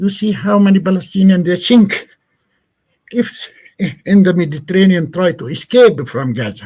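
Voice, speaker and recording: Here a man speaks at a high pitch in a dark, mellow tone. His intonation is lively. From Palestine. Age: 60s. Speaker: Palestinian agricultural NGO representative. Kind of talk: guest talk in online class. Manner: halting, frequent repetitions.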